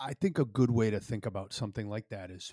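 In an Upper Midwest accent, the speaker goes at a moderate pace with ordinary pitch variation, on a very clean recording with a silent background and a dry, close sound with no echo. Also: man. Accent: Upper Midwest American. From northern Wisconsin, US Midwest. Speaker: podcast co-host, digital marketer. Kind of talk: casual chat. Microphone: new mic setup.

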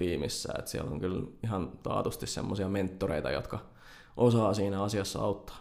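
An ordinary speaking voice from a man, fairly low in pitch, at a moderate pace with fairly even intonation. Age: 20s. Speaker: software developer. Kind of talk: interview. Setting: studio.

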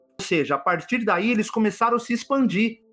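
With music in the background, a man speaks at a moderate pace in a high voice. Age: 40s. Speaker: UFO enthusiast. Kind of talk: casual chat.

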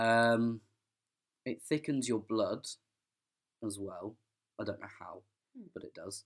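Speaking very slowly with long, frequent pauses, a man with an English accent keeps a medium pitch and fairly even intonation while his loudness swings widely. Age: 20s. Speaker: podcast guest. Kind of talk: casual interview.

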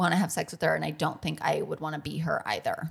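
A woman speaks with an American accent. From US Midwest, Michigan. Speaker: music superfan. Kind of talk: casual chat.

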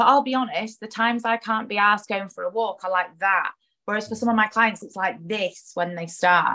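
Bright and sharp in tone, a woman speaks with a fairly high pitch. Her pace is fairly quick and her intonation fairly even. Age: 30s. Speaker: nutritionist and fitness coach. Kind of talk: casual chat.

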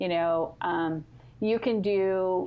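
A woman's normal speaking voice with an American accent, medium pitch and ordinary pitch variation. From California. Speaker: family history organization social media manager. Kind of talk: interview. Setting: phone call.

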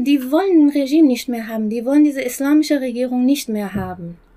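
Over noticeable background noise, a woman with a Persian accent speaks at a moderate pace and high pitch, with lively intonation and hardly any pauses. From Iran. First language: Persian (speaking German). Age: 40s. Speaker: human rights activist. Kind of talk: interview. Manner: halting.

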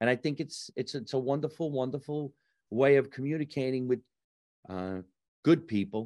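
A man with a New Jersey accent speaks at a moderate pace with a fairly high pitch, ordinary pitch variation and a dark, mellow tone, leaving long, frequent pauses, in a dry, close sound with no echo against a quiet background. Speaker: comedian and actor. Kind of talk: casual interview chat. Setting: home basement.

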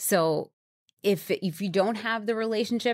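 A normal speaking voice from a woman with an American accent, moderate pace and ordinary pitch variation, dry and close with no echo on a very clean recording with a silent background. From New York. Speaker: brand marketing executive and entrepreneur. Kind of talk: interview. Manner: conversational with frequent fillers.

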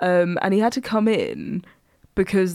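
Recorded with a dry, close sound and no echo, a woman with an Essex accent speaks at medium pitch with ordinary pitch variation. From Essex, England. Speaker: podcast co-host. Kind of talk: casual chat.

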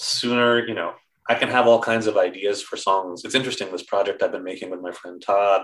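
A man with an ordinary speaking voice talks at a fairly quick pace, his medium pitch moving with ordinary variation over a very clean recording with a silent background. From US Northeast (New York). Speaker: agile software consultant and musician. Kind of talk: podcast interview.

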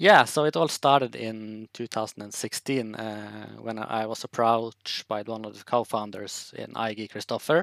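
A man with a Norwegian accent talks at a fairly slow pace with hardly any pauses, using medium pitch, fairly even intonation and big swings in loudness, in a very clean, silent-background recording with a dry, close sound and no echo. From northern Norway, Tromsø. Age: 30s. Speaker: watch brand founder. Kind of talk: podcast interview.

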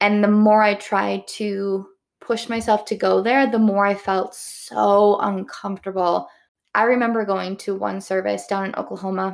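Monotone, flat intonation in a Midwestern American accent, at a moderate pace, on a very clean recording with a silent background. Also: woman, medium pitch for a woman. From US Midwest. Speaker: podcast host. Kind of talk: solo opinion monologue. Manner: casual, conversational.

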